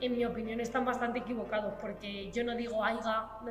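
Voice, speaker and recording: A woman's fairly high-pitched, monotone, flat voice amid audible room echo and noticeable background noise. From Spain, Cuenca province (La Manchuela). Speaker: student, rural woman interviewee. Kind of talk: documentary interview testimony.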